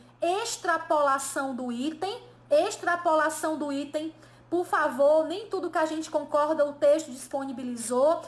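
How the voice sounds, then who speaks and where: Here a woman talks with a high pitch. Her pace is fairly slow. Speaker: Portuguese teacher. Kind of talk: online lesson. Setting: live stream.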